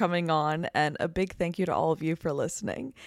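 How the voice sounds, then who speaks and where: A woman talks at a very fast pace. The recording is very clean with a silent background and a dry, close sound with no echo. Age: 20s. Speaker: podcast host. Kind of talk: casual chat. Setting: in a friend's apartment.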